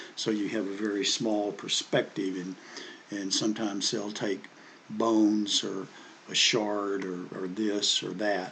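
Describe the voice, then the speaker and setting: A man with a Southern US accent speaks at a fairly low pitch. His delivery is fairly slow and monotone, with flat intonation. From US South. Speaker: history commentator. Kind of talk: casual monologue. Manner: halting, many fillers and repeats.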